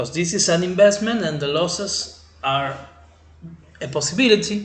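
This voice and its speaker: A man speaks with an Argentine accent and lively intonation at a fairly slow pace. There is audible room echo. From Argentina. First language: Spanish. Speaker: crypto trading channel host. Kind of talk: tutorial. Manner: halting, with many fillers. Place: home room. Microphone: webcam.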